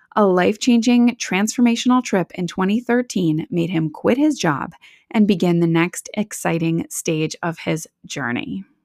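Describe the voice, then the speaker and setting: A woman speaks with a Midwestern American accent. Her voice sounds dry and close, with no echo. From US Midwest, Wisconsin. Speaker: podcast host, life coach. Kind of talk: interview. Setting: remote call.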